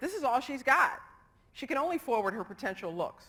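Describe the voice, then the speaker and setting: Raising and projecting her voice, a woman speaks high and in a bright, sharp tone, her pitch swinging very widely. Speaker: psychology lecturer. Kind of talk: lecture. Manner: fast.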